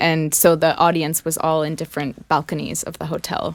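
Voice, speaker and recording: With an American accent, a woman talks at a moderate pace in a fairly low pitch. She has an ordinary speaking voice. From France, near Versailles. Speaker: rock band lead singer. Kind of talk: casual interview chat. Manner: many filler words (um, uh).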